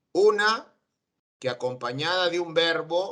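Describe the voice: A man's medium-pitched voice with a fairly bright tone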